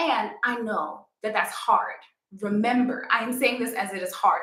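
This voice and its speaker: A woman speaks in a New York accent with an animated tone. Room echo is audible. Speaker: yoga instructor. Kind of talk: live stream talk.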